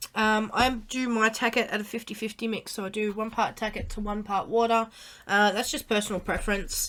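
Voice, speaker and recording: A woman with an Australian accent, fairly high in pitch and fairly quick in pace, with monotone, flat intonation. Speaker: craft tutorial youtuber. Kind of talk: tutorial. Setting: live stream. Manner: halting, many fillers.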